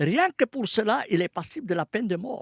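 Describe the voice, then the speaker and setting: In a dry, close sound with no echo, a man speaks at a moderate pace, his high pitch making very wide swings. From Palestine. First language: Arabic (speaking French). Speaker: scholar of Islamic texts. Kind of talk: radio interview.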